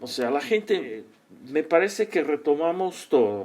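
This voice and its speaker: With a Portuguese accent, a man talks in a fairly high pitch with lively intonation. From Brazil. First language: Portuguese (speaking Spanish). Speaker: psychologist and organizational consultant. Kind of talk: interview. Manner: halting.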